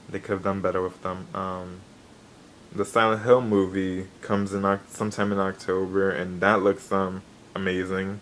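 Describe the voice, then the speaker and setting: A man talks in a flat, monotone way. His pitch sits very deep and low. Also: moderate pace. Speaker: gaming and anime YouTuber. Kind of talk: casual vlog news update. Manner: hesitant, many fillers.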